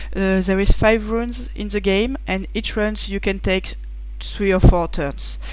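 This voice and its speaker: Over noticeable background noise and audible room echo, a woman with a French accent speaks at a fairly slow pace. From France. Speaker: board game reviewer. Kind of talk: game rules preview. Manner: halting, many fillers.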